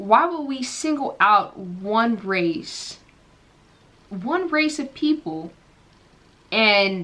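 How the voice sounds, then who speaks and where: Quietly, a woman with an American accent speaks at a fairly high pitch in a bright, sharp tone with very wide pitch swings. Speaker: pop culture commentator. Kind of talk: casual vlog commentary.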